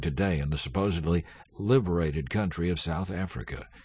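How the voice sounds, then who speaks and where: Somewhat breathy and very deep, low in pitch, a man's voice carries lively intonation. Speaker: announcer. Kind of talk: scripted announcement.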